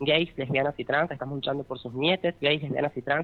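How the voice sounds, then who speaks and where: A woman's very deep, low voice at a fairly quick pace with ordinary pitch variation. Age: 30s. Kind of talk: radio interview.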